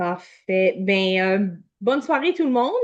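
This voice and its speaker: A woman speaks at a fairly slow pace. She has an Acadian accent. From Canada, New Brunswick (Acadian). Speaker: health product consultant. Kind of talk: online product presentation.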